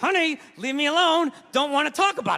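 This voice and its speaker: A man puts on a character voice with an extremely high pitch. He speaks at a fairly quick pace with lively intonation. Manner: gruff, dismissive.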